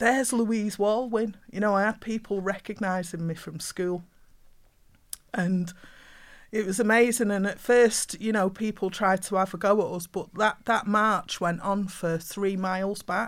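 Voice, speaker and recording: A woman with a Mancunian accent speaks at a medium pitch and a fairly slow pace with fairly even intonation. The recording is very clean, with a silent background. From Manchester, England. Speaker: poet and playwright. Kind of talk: panel discussion.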